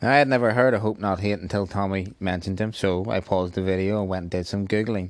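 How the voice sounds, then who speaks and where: With a Northern Irish accent, a man talks very fast at a fairly low pitch with fairly even intonation against a quiet background. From Northern Ireland. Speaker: YouTuber commentator. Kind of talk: casual video commentary.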